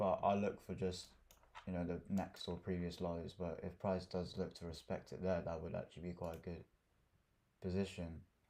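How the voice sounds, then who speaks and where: A man with a London accent speaks at a moderate pace in a very deep, low voice with a dark, mellow tone. His intonation stays monotone and flat. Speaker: day trader. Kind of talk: live trading tutorial. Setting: livestream. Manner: quiet; casual. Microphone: too quiet at first.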